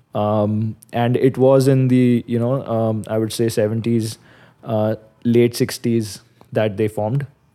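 This man has a medium-pitched voice with a dark, mellow tone. He speaks very slowly in a flat, monotone way. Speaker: podcast host. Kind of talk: casual chat.

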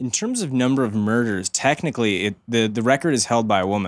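An unremarkable speaking voice, a man's fairly low and fairly quick with an American accent, comes through on a very clean recording with a silent background. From Chicago. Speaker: podcast guest. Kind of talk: casual chat.

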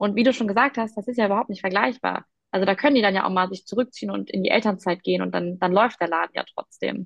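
This woman talks at a very fast pace, her medium pitch moving in an ordinary way. Vocal fry runs through her voice. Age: 20s. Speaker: startup founder. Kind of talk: interview. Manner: hesitant, many fillers.

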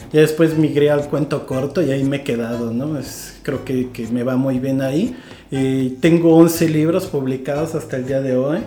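This man's pitch sits fairly high, and he keeps a moderate pace with fairly even intonation. Audible room echo and noticeable background noise are present. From Mexico, rural Guerrero (Iguala). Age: 30s. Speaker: writer. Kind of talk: casual chat.

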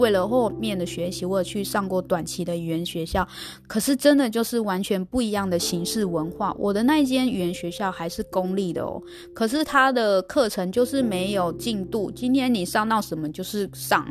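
At a moderate pace, a woman with a medium pitch speaks using lively intonation. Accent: Taiwanese. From Taiwan. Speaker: podcast host. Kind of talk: casual solo monologue.

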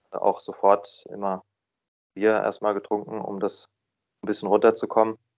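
Moderate pace broken by long, frequent pauses, over a quiet background. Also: man. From Baden, southwest Germany (Freiburg). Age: 30s. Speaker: recovering drinker, office employee. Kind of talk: interview. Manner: hesitant, many filler sounds.

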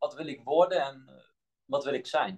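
At a moderate pace, a man talks in a fairly high pitch. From Netherlands, Limburg (Melick), born in Bosnia. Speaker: health scientist and movement coach. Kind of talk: podcast interview. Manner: halting, searching for words.

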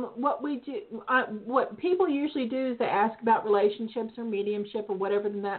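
A woman speaks at a fairly quick pace with a fairly high pitch. It is an unremarkable speaking voice with big swings in loudness. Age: 50s. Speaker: psychic radio host. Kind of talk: call-in psychic readings. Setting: internet radio call-in show.

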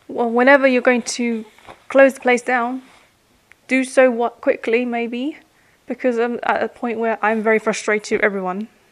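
A woman with a high pitch talks at a moderate pace with fairly even intonation. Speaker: podcaster or vlogger. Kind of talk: angry rant about work; solo personal vlog. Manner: bitter, exasperated, distrustful tone; fed-up, weary, complaining.

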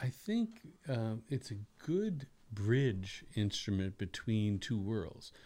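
Speaking very slowly with an American accent, a man uses a medium pitch, ordinary pitch variation and a dark, mellow tone. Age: 60s. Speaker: bass player and orchestra leader. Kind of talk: casual chat. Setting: studio.

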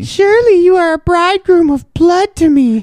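A put-on character voice, female-sounding and pitched extremely high, delivered at a moderate pace. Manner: gruesome.

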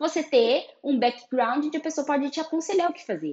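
At a moderate pace, a woman with an ordinary speaking voice talks with lively intonation. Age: 30s. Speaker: photographer and podcast host. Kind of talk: solo podcast monologue.

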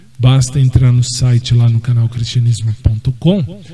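A man at a medium pitch and a fairly slow pace, amid noticeable background noise. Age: 40s. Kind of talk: casual monologue.

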